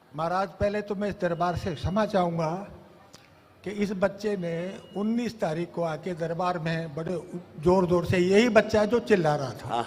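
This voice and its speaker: His voice sits high for a man. The pitch moves up and down in an ordinary way. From Morena, Madhya Pradesh, India. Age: 70s. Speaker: devotee recounting son's healing. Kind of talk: testimony.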